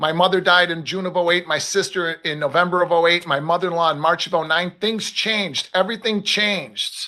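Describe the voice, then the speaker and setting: A man speaks at a fairly quick pace in a high pitch, his tone bright and sharp, with hardly any pauses. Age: 50s. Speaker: futures trader, market commentator. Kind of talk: live stream casual chat. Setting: live stream at trading desk with multiple screens. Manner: animated.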